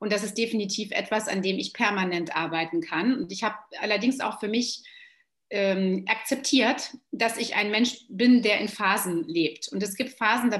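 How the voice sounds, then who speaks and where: A woman's normal speaking voice, fairly high in pitch, with ordinary pitch variation at a moderate pace. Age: 40s. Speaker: yoga teacher and trainer. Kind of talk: casual chat.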